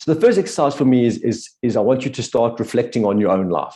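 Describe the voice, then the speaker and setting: A man's dark, mellow tone at a fairly quick pace, with ordinary pitch variation over a quiet background. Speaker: business coach. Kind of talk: webinar workshop. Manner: fast.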